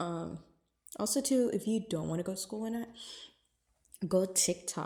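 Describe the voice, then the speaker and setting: Medium-pitched female voice, somewhat breathy, with a dark, mellow tone. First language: Spanish and English. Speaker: lifestyle vlogger. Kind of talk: casual vlog talk. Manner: casual, many fillers.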